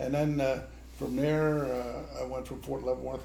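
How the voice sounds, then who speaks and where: A man's voice with audible room echo. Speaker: retired army officer. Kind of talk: family conversation.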